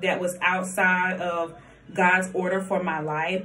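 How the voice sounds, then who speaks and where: A woman with a Southern US accent at a medium pitch, talking at a fairly slow pace, with audible room echo. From US South, Columbia, South Carolina. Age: 20s. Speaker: vlogger. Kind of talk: casual chat.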